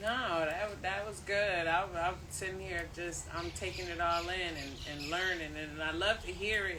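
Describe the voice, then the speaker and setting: Speaking fairly slowly with an American accent, a woman takes hardly any pauses. Room echo can be heard. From US city. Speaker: co-host. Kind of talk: casual chat. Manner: halting.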